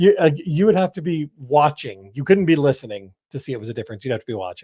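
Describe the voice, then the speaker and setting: A somewhat breathy voice with a dark, mellow tone races along at a very fast pace, with lively intonation and big swings in loudness, in a dry, close sound with no echo. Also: man, fairly high pitch for a man. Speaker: podcast co-host, sports commentator. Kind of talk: casual podcast discussion.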